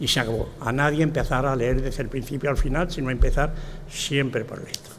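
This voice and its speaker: Speech moves at a fairly quick pace. Audible room echo and noticeable background noise run through the clip. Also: man, medium pitch for a man. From Spain, Extremadura (Tornavacas, Cáceres). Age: 80s+. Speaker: retired professor and author. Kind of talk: speech at a book presentation. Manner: halting, with many fillers.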